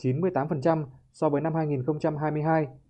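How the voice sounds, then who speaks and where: A man's voice, fairly high in pitch. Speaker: radio reporter. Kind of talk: news report.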